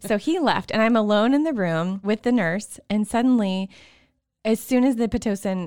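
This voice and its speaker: A woman speaks with a Texas accent. The sound is dry and close, with no echo. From Texas, Waco. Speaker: stay-at-home mom and childbirth storyteller. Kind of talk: casual interview, personal birth stories.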